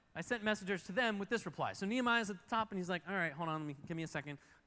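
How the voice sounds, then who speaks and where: This man talks very fast in a high pitch, his voice raised and projected. The tone is bright, sharp and animated, with ordinary pitch variation. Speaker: pastor. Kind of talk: sermon.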